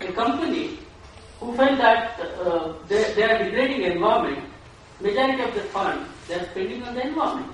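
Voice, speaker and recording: The speaker has an Indian accent and a fairly quick pace. Strong room echo and light background noise are present. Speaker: nonprofit worker. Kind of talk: audience question at a conference. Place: hall.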